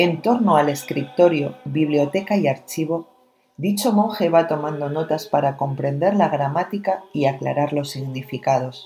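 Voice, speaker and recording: Over music in the background, a woman speaks at a fairly slow pace. Her pitch is very deep and low, with ordinary pitch variation. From Spain, La Rioja. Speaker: radio presenter. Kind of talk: scripted narration.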